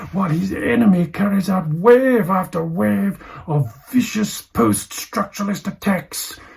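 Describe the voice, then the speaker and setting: Speaking at a moderate pace with hardly any pauses, a man uses a high pitch and lively intonation. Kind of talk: deadpan literary reading. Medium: read story. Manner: measured, dry, with thoughtful hums.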